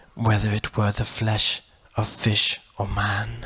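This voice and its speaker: A soft-spoken man talks at a very slow pace. His tone is bright and sharp. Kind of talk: audiobook short story reading.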